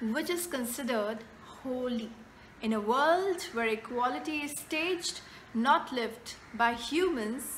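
A woman's raised, projected voice, high in pitch, with ordinary pitch variation at a very slow pace over light background noise. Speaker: poet. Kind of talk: poetry reading. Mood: gentle, reflective. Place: home room. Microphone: phone near.

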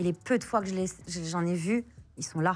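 At a moderate pace, a woman speaks in a fairly low voice with ordinary pitch variation. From France, Pakistani family, arrived as baby. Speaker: author, forced-marriage survivor; interview guest. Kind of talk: interview testimony. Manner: hesitant, many fillers. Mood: emotional personal story. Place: studio. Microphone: lapel.

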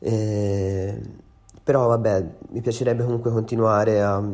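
Fairly even intonation in a man's voice pitched fairly low. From Tuscany, Empoli. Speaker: singer-songwriter. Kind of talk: interview answers to read-out questions. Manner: halting, with many fillers.

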